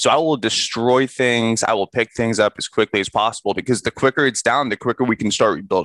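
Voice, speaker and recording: In a dry, close recording with no echo, a man has an unremarkable speaking voice of medium pitch, talking at a fairly quick pace with ordinary pitch variation and hardly any pauses. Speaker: podcast co-host. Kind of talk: casual chat.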